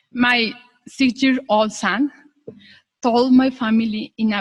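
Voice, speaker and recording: Speaking very slowly with a Spanish accent, this woman has a high pitch. Her words come out at a crawl. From Mexico. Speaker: graduate. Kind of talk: graduation speech.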